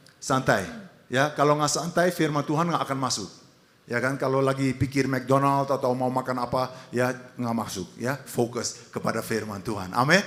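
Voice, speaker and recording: This man speaks with a Dutch accent. His pitch is medium and his pace moderate. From Netherlands. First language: Dutch (speaking Indonesian). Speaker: pastor. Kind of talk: sermon. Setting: church.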